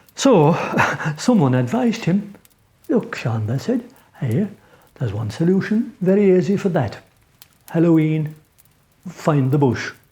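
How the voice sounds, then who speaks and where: The speaker has an Irish accent and a fairly slow pace. Long pauses come often. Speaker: traditional Irish storyteller. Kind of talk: folk tale storytelling. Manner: conversational, unhurried.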